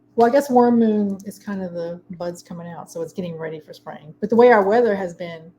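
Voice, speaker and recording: A woman with a Baltimore accent talks at a fairly quick pace with hardly any pauses, her medium-pitched voice showing ordinary pitch variation and big swings in loudness. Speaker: meditation teacher. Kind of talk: casual chat.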